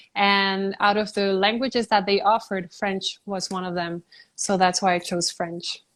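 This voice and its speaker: In a Spanish accent, a woman with a medium pitch speaks at a moderate pace in a flat monotone, on a very clean recording with a silent background. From Puerto Rico. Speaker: beauty pageant contestant. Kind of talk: interview.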